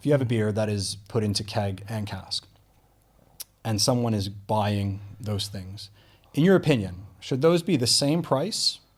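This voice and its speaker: A fairly low, somewhat breathy male voice at a fairly slow pace, with ordinary pitch variation. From Canada. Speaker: podcast host. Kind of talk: interview conversation. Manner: hesitant, many fillers.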